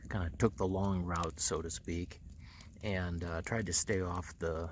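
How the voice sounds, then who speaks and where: Quiet and somewhat breathy, a man speaks at a moderate pace with a very deep, low pitch and fairly even intonation. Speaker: motorcycle vlogger. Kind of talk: casual vlog talk to camera. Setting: outdoors at night campsite. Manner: speaking quietly; halting, many fillers.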